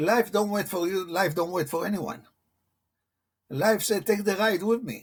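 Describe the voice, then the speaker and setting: Speaking at a fairly slow pace with a non-native accent, a man uses a high pitch and ordinary pitch variation. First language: not English. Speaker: motivational coach. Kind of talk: interview. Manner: halting.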